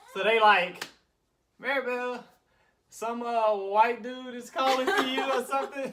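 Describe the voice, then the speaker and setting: A man's raised, projected voice, extremely high in pitch, at a fairly slow pace with long, frequent pauses, ordinary pitch variation and big swings in loudness. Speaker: vlogger. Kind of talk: casual storytelling.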